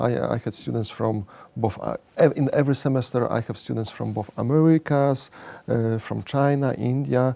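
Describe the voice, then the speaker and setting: A man speaks with a Polish accent. His pace is moderate. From Poland. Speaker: economics professor. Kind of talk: interview. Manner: halting, many fillers and repeats.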